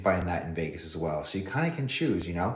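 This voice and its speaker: Somewhat breathy, a man with an American accent talks at a fairly quick pace, with audible room echo. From northern Nevada, US. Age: 30s. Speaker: fitness model and livestreamer. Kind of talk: casual livestream chat. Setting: livestream at home. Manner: casual, hesitant with fillers and repeats.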